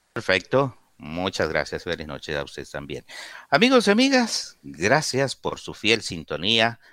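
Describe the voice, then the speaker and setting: A man talks fairly slowly. His volume rises and falls in big swings. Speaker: radio host. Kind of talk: call-in radio show.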